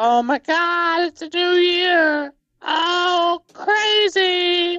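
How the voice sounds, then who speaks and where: A man in a put-on character voice, extremely high in pitch, at a very slow pace. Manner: exaggerated excitement.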